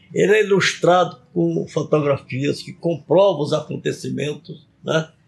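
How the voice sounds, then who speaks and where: Vocal fry runs through a man's fairly high voice, which shows ordinary pitch variation. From Brazil, Acre (Tarauacá). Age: 80s+. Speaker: retired politician and author. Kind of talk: interview.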